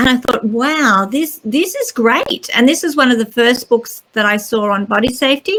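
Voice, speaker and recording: Speaking at a moderate pace with a high pitch, a woman with an Australian accent uses ordinary pitch variation. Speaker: children's author and teacher. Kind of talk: interview.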